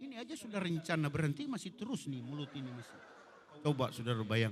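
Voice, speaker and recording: Talking at a very fast pace, a man sounds animated, with very wide pitch swings. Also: fairly high pitch for a man. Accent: Manado. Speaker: pastor. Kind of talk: sermon. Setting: church service in hotel hall.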